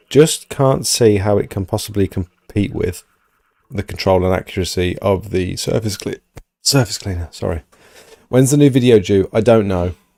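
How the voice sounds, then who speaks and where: A man's fairly low, dark, mellow voice at a moderate pace, with ordinary pitch variation and a dry, close sound with no echo. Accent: British. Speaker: pressure washing business owner and streamer. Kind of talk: live stream Q&A. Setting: live stream with co-presenter.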